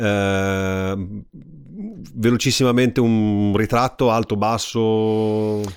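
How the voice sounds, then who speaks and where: With long, frequent pauses, a man speaks very slowly at a fairly low pitch and with fairly even intonation. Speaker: podcast host. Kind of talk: interview. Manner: halting.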